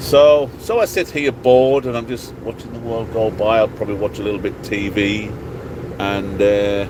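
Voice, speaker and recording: With an English accent, a man talks at a moderate pace in a fairly low pitch with ordinary pitch variation over noticeable background noise. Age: 50s. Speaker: truck driver vlogger. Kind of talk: casual vlog monologue. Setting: in a truck cab at a truck stop.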